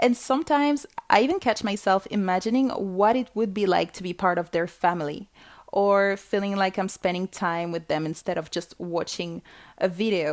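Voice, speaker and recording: A woman speaks with a non-native accent at a moderate pace. Her intonation is lively and her pitch is medium. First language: not English. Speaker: podcast host. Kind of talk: solo podcast monologue. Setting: home recording alone with microphone.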